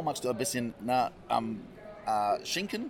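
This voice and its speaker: A man speaks at a moderate pace. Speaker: hunter and game cook. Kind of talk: casual interview. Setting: trade fair. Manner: animated.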